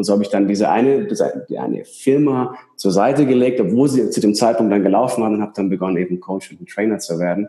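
A man's fairly low-pitched voice, dark and mellow in tone, at a very fast pace with ordinary pitch variation. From Bavaria, Ingolstadt. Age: 30s. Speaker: coach and seminar speaker. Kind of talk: interview.

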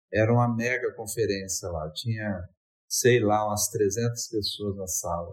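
Somewhat breathy speech at a fairly slow pace with fairly even intonation, on a very clean recording with a silent background. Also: man, fairly low pitch for a man. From Brazil, Espírito Santo (Vila Velha). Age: 50s. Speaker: university professor. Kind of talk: interview.

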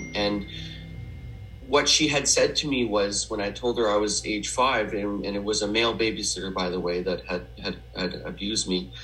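A man with a Canadian accent, fairly low pitch, lively intonation and a moderate pace, amid noticeable background noise. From Western Canada (Edmonton, Alberta). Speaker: memoir author in recovery. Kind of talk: personal testimony interview. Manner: halting, many fillers.

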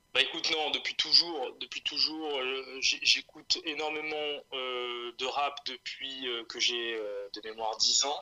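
Over noticeable background noise, a man with a fairly high voice talks at a very slow pace and keeps his intonation fairly even. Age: 30s. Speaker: rapper. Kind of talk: interview.

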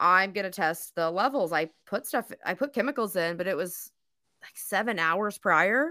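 A woman talks at a moderate pace in a bright, sharp tone and a medium pitch. The recording is very clean, with a silent background. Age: 30s. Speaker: podcast host. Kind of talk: casual chat. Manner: joking.

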